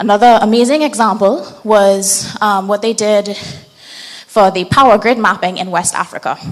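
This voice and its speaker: Against noticeable background noise, a woman at a medium pitch talks at a moderate pace with ordinary pitch variation. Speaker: open source mapping trainer. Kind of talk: training workshop presentation.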